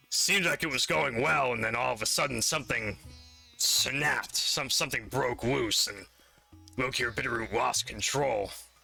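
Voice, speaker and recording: Raspy put-on character voice, faint music in the background. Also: man, medium pitch for a man, moderate pace. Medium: actual play. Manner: rambling, hesitant.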